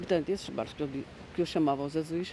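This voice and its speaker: Her intonation holds fairly even. A woman is the one talking. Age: 60s. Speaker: interviewee in a student documentary, former commuter. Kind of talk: interview testimony, reminiscing. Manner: halting, with hesitations and self-corrections.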